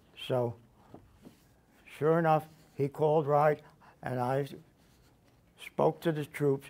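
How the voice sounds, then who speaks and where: Talking at a fairly slow pace, a man has a fairly high pitch with ordinary pitch variation. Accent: New Jersey. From New Jersey (Edison area). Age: 90s. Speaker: war veteran. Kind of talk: talk to high school students. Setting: classroom.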